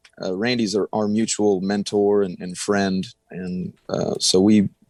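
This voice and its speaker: A man with a Texan accent speaks at a fairly low pitch with fairly even intonation, the sound dry and close with no echo. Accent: Texas country. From Texas, Del Rio. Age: young. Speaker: country singer. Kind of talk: radio interview.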